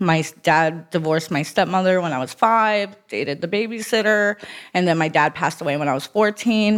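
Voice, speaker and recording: In a normal speaking voice, a woman talks at a fairly quick pace with an American accent, her pitch fairly low with ordinary variation, on a very clean recording with a silent background. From South Florida (Broward County). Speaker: recovering addict sharing her story. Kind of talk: testimony.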